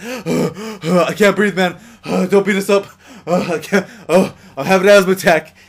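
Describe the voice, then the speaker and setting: A man's put-on character voice, wheezy and high-pitched, at a fairly slow pace. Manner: fake wheezing.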